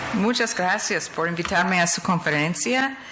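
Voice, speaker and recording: A woman's lively intonation comes through noticeable background noise and audible room echo. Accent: English. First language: English (speaking Spanish). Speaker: physician. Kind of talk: conference lecture.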